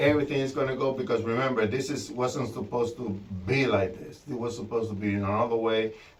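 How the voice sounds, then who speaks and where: A man with fairly even intonation talks at a medium pitch, with noticeable background noise and audible room echo in the recording. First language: not English. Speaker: DIY trailer builder vlogger. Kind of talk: casual vlog tutorial. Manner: halting, many fillers and repetitions.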